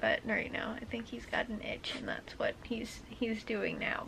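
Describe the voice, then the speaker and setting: The voice has a bright, sharp tone and moves at a fairly slow pace. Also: woman. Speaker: vlogger. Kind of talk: casual vlog chat. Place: home room. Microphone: phone near.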